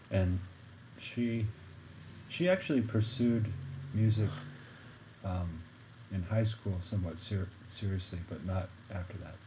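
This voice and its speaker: A man with an American accent speaks fairly slowly in a fairly low, somewhat breathy voice, with long, frequent pauses. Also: ordinary pitch variation. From Arkansas, US South. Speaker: jazz saxophonist. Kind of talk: casual interview conversation.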